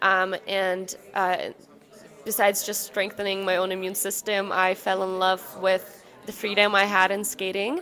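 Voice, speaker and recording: The intonation is monotone and flat, delivered at a moderate pace against noticeable background noise. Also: woman, medium pitch for a woman. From Ukraine. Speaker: ice dancer. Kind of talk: interview.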